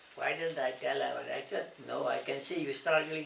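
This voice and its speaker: At a moderate pace, a man speaks with noticeable background noise in the recording. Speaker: grandfather interviewed about his life. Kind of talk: interview answer.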